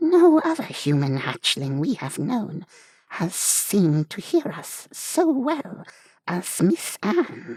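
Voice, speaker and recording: Put on as a character voice, the speech comes very slowly at a middle pitch, with very wide pitch swings and a hissing sound. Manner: sweet.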